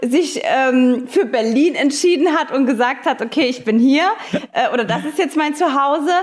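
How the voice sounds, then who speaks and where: This woman has a high pitch, ordinary pitch variation and an animated tone. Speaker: podcast host. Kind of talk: casual interview. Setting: video call.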